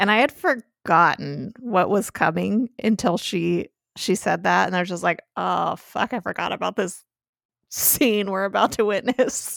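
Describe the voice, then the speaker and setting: Recorded very clean with a silent background, the sound is dry and close with no echo. The voice has vocal fry, ordinary pitch variation and a fairly slow pace. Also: woman, medium pitch for a woman. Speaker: podcast host. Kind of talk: casual chat.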